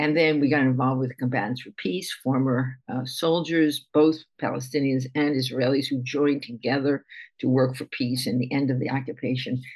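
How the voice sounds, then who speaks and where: Her pitch is very deep and low for a woman. She talks at a fairly quick pace with fairly even intonation. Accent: American. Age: 70s. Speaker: rabbi and meditation teacher. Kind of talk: interview.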